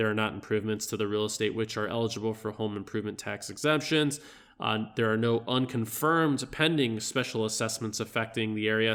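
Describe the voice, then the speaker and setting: In a very clean recording with a silent background, a man talks fairly quickly at a medium pitch with fairly even intonation. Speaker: realtor. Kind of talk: tutorial. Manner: fast; casual, hesitant with fillers.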